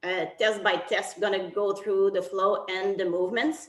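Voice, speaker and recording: A woman with a French accent at a medium pitch and a moderate pace. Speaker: technical officials committee chair. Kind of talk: online briefing. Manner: halting.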